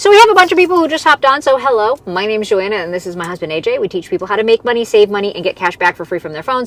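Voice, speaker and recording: Very fast, fairly high woman's voice with very wide pitch swings over noticeable background noise. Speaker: side hustle content creator. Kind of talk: live stream Q&A. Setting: live stream.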